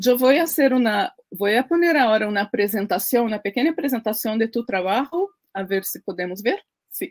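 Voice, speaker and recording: A woman with a Portuguese accent talks at a fairly quick pace and fairly high pitch, her intonation lively against a quiet background. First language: Portuguese (speaking Spanish). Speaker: cultural association founder and host; host of an online interview series. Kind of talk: interview. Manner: halting, with many fillers. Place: home room.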